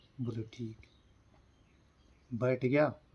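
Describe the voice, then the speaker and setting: A man speaks in a monotone, flat intonation at a medium pitch. His voice is somewhat breathy. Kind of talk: folk tale told to a listener.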